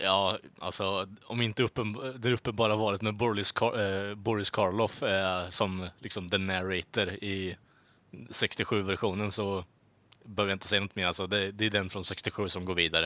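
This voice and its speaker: In a very clean recording with a silent background, a man speaks at a moderate pace with a fairly low pitch and a bright, sharp tone. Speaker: podcast host. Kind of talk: casual chat. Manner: animated.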